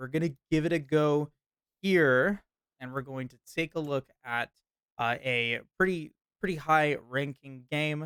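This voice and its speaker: Using a normal speaking voice, a man talks at a fairly high pitch and fairly slow pace with ordinary pitch variation. His loudness swings widely, and the sound is dry and close with no echo. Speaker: esports shoutcaster. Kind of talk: esports shoutcast commentary.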